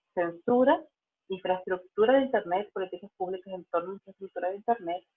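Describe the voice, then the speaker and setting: With a normal speaking voice, a woman uses medium pitch and ordinary pitch variation. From Venezuela. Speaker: digital rights lawyer and policy analyst. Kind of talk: online lecture. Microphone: unreliable internet connection.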